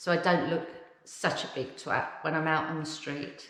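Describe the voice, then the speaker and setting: Over noticeable background noise and audible room echo, a woman speaks at a fairly slow pace in a monotone, flat intonation. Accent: English. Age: 50s. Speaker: vlogger. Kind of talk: casual vlog talk. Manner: conversational with frequent fillers.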